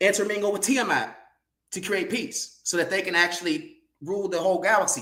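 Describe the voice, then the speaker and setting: A man projects a raised voice at a high pitch. His tone is bright and sharp, and audible room echo surrounds it. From California. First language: sign language. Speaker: guest speaker on a livestream. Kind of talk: casual livestream talk, lecture-like. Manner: halting, many fillers.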